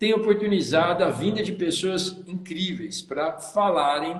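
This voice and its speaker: A man with a high pitch speaks at a very slow pace and with ordinary pitch variation, accompanied by noticeable background noise. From São Paulo state, Brazil. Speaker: tourism consultant and live show host. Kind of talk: live stream hosting. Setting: Instagram live video. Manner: animated.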